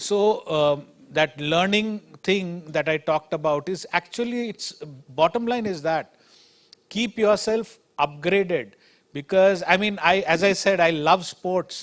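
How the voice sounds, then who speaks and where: A man talks with a high pitch and ordinary pitch variation. His pace is fairly slow. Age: 50s. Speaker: company chairman, guest lecturer. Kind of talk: guest lecture Q&A remarks. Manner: halting, many fillers.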